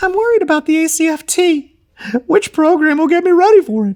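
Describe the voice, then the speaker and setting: This put-on character voice is whiny and extremely high in pitch, delivered at a fairly quick pace. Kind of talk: private, casual. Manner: whiny, complaining.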